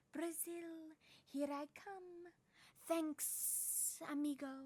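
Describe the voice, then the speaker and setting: Someone uses a put-on character voice, pitched high and delivered at a very slow pace. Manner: casual, thanking.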